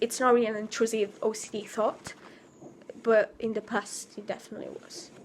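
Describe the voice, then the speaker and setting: A woman talks at a fairly quick pace in a fairly high pitch. Her intonation is flat and monotone. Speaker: vlogger. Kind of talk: spontaneous vent vlog. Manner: halting.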